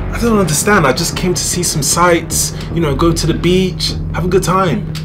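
Noticeable background noise surrounds this recording. In it, a man with a British accent speaks at a moderate pace. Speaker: comedy sketch creator. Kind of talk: comedy sketch acting. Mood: anxious, pleading.

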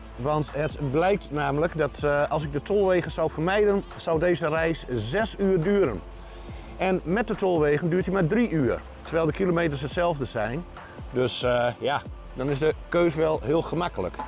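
A man's voice moves at a moderate pace. Behind him, music plays clearly. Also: ordinary pitch variation, dry sound with no echo. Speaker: travel vlogger. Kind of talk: casual vlog chat. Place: open country. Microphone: lapel.

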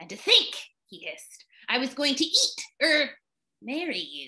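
In a put-on character voice, someone hisses in a high pitch with a furious tone at a moderate pace. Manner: hissing, furious.

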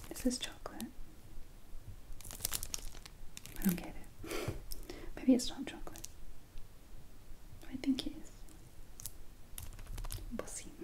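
The speaker is soft-spoken, at a moderate pace with long, frequent pauses. Light background noise sits underneath. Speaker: taste test host. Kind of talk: soft relaxing taste test chat. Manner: soft-spoken, musing ASMR voice.

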